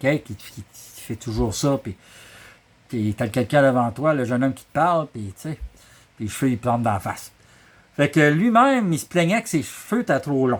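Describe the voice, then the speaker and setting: A man with a Quebec accent speaks at a moderate pace and medium pitch, with lively intonation, long, frequent pauses, and big swings in loudness. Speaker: storyteller. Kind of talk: oral storytelling, family anecdote. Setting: workshop. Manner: casual, humorous.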